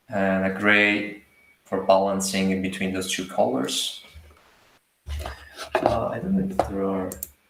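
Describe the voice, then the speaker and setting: Speaking at a fairly slow pace with long, frequent pauses, a man's fairly low voice stays monotone and flat against audible room echo. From Italy. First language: Italian. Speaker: artist and art teacher. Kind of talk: live drawing demo. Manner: hesitant.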